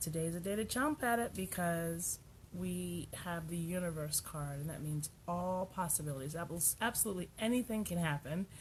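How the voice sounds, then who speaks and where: Her intonation is lively as the woman speaks at a moderate pace. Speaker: radio show host, tarot reader. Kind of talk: live radio talk show, casual. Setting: radio studio, streamed on Facebook Live. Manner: loud; animated.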